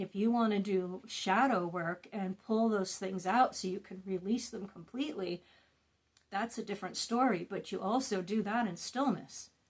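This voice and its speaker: This is a woman speaking at a medium pitch. Her voice is somewhat breathy. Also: ordinary pitch variation, moderate pace. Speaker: wellness and trauma-healing content creator. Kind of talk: casual talk to camera, guided meditation talk.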